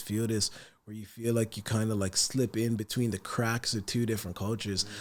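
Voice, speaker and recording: Speaking very fast, a man with a Dublin accent keeps to a medium pitch. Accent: Irish (Dublin). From Ireland, partly Sierra Leone. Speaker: rapper. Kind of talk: podcast interview. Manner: soft-spoken.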